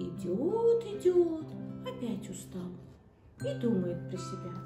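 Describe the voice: Faint music plays behind a woman who speaks slowly at a fairly high pitch in a dark, mellow tone with very wide pitch swings.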